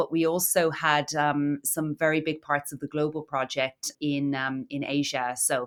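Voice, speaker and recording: A woman's very deep, low voice comes through a very clean recording against a silent background. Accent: Irish. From Ireland (Cork). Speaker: marketing director. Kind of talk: podcast interview. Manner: hesitant, many fillers.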